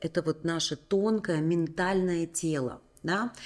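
A woman talks at a fairly slow pace with ordinary pitch variation. The background is quiet. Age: 40s. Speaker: women's coaching channel host. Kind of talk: motivational talk to camera. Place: home room. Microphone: studio mic.

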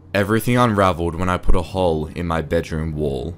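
Over music in the background, a man with a very deep, low voice talks at a fairly quick pace. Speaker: narrator. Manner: quietly tense, confessional tone that turns urgent and breathless at the scary reveals.

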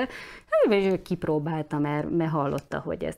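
With a dark, mellow tone, a woman speaks at a fairly low pitch and with fairly even intonation. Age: 40s. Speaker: journalist. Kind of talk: interview. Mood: earnest, concerned. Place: studio.

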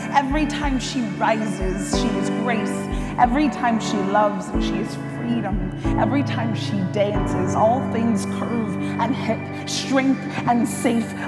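A woman's fairly slow speech over loud background music. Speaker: spoken word poet. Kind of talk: spoken word poetry performance. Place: hall. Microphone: lapel.

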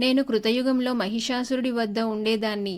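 An unforced reading voice, intonation fairly even throughout

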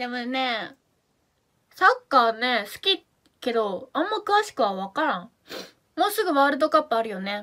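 In a Fukuoka accent, a woman speaks at a moderate pace with a high pitch, a bright, sharp tone, very wide pitch swings and big swings in loudness against a quiet background. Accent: Hakata dialect. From Japan, Fukuoka; Japan. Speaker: idol live streamer. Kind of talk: live stream chat reading comments. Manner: animated. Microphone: phone near.

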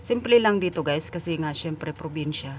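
Speech moves at a fairly quick pace against noticeable background noise. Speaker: vlogger. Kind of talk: casual vlog narration. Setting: outdoors on location, evening. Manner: casual, conversational.

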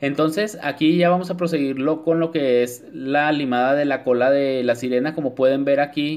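A man speaks at a moderate pace with a fairly high pitch and fairly even intonation. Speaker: nail artist. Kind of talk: tutorial. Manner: talks the same off camera, not a put-on voice.

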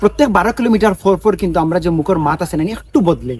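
A man with a Sylheti accent, high in pitch, with lively intonation. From Sylhet region, Bangladesh. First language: Sylheti (speaking Bengali). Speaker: social media video maker. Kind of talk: vlog monologue. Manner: animated.

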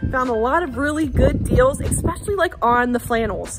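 A woman speaks in a high pitch with music in the background. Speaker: homesteader vlogger. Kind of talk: casual vlog chat. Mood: warm, upbeat. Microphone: phone near.

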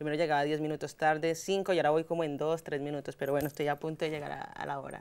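With a Bogotá accent, a woman speaks at a very fast pace with hardly any pauses. Her voice is very deep and low, with monotone, flat intonation. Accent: Bogotá Colombian Spanish. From Colombia, Bogotá. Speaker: journalist. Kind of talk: interview. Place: studio. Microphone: lapel.

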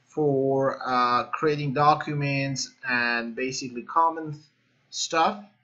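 A man speaks very slowly with fairly even intonation. The background is quiet. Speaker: programming instructor. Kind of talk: tutorial. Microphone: webcam.

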